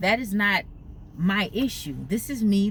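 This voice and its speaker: Vocal fry runs through a woman's voice. She speaks at a fairly slow pace. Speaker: YouTuber. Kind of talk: casual vlog storytelling. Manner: clicks her tongue.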